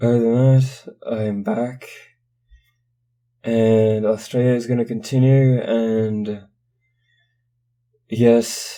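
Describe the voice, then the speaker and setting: Soft-spoken and very slow, the voice has a dark, mellow tone, monotone, flat intonation, and long, frequent pauses. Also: man, medium pitch for a man. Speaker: horror story narrator. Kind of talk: casual vlog update. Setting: apartment room with thin walls.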